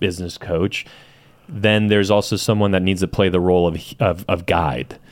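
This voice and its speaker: In an American accent, a man talks at a moderate pace with a very deep, low pitch and ordinary pitch variation. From San Diego, California (South Bay, Chula Vista). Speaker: real estate team owner. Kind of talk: casual interview.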